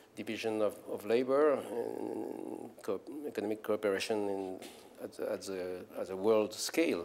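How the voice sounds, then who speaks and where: A man with a French accent talks at a fairly slow pace in a fairly low pitch, with ordinary pitch movement. The room echo is audible. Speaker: philosopher and scholar. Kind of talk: lecture. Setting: conference stage with audience. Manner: halting, many fillers and repetitions.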